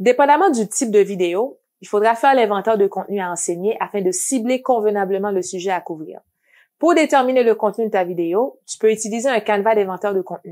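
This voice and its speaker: A woman with a non-native accent and a dark, mellow tone, medium in pitch with ordinary pitch variation, at a fairly quick pace on a very clean recording with a silent background. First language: not French (speaking French). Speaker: educational video trainer for teachers. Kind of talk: scripted tutorial.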